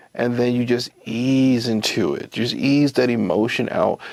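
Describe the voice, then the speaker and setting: Recorded with a dry, close sound and no echo, a man speaks at a fairly slow pace and medium pitch in a monotone, flat delivery. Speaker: interviewer. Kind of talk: interview questions.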